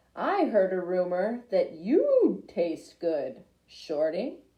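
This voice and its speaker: A raspy, put-on character voice at a very slow pace. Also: woman, medium pitch for a woman. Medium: read story. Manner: menacing.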